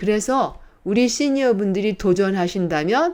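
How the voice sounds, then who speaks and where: The tone is dark and mellow, with lively intonation at a fairly slow pace. The background is quiet. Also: woman. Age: 70s. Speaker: YouTuber. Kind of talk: tutorial.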